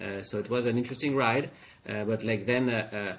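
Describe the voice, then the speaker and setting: A man with a French accent talks at a fairly quick pace and a medium pitch. His intonation stays fairly even. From France. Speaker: fintech founder. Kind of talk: interview. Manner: halting, many fillers.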